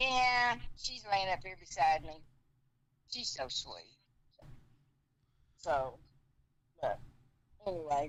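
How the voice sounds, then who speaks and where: With an American accent, a woman speaks very slowly at a medium pitch, with long, frequent pauses, very wide pitch swings, and big swings in loudness. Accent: Texas-Arkansas twang. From Texas and Arkansas. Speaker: streamer's mother. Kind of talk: casual chat.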